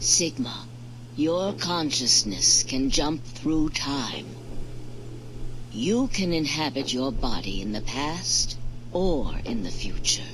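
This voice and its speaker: A put-on character voice at a low-to-middle pitch, calm in tone and very slow, with long, frequent pauses over loud background noise. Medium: solo performance. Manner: calm, measured.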